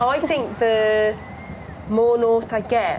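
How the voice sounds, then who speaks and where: With a strong Birmingham accent, a woman talks at fairly high pitch, and audible room echo surrounds her voice. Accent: strong Birmingham (Brummie). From Birmingham, English Midlands. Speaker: football pundit. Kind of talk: live match watchalong commentary. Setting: studio.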